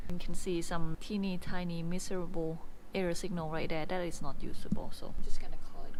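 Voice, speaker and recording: A woman's fairly low, monotone voice with flat intonation, at a fairly quick pace, with audible room echo. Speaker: physicist. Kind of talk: lab vlog with technical explanation. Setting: physics lab.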